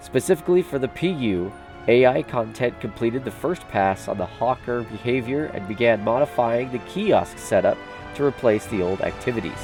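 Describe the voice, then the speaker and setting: With music in the background, a man speaks at medium pitch and a moderate pace using lively intonation. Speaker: YouTuber reading a game development report. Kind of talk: reading a report aloud.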